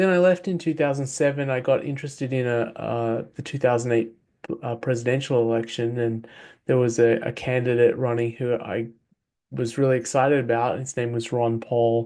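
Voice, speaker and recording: In an Australian accent, the speaker uses a dark, mellow tone and fairly even intonation at a moderate pace against a quiet background. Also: man. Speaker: author and former software engineer. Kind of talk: interview. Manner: hesitant with fillers.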